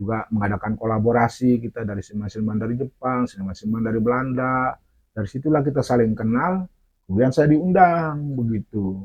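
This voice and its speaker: A man's medium-pitched voice at a very fast pace. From Aceh. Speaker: storyteller. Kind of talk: interview. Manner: halting.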